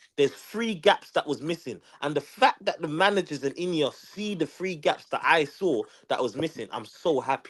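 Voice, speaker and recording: An animated delivery in a London accent at a moderate pace, with hardly any pauses. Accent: London multicultural English. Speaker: football podcast co-host. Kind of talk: casual chat.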